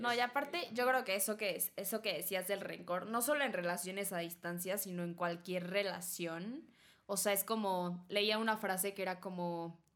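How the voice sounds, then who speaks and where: Her pitch medium and its variation ordinary, a woman is speaking. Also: moderate pace. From Mexico. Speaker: podcast host. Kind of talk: casual chat.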